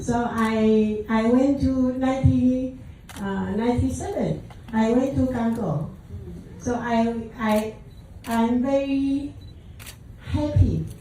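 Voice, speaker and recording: Speaking at a very slow pace with long, frequent pauses, a woman with a fairly high pitch uses ordinary pitch variation over noticeable background noise and audible room echo. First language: Taiwanese / Mandarin Chinese. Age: 60s. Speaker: calligraphy teacher and speaker. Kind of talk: short speech to an audience. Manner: halting, hesitant broken English.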